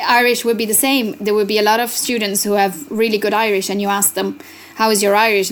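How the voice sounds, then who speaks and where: A woman with an Italian accent talks at a very fast pace. Her intonation is fairly even. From Italy. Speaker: language researcher and arts festival director. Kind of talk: interview. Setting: remote recording.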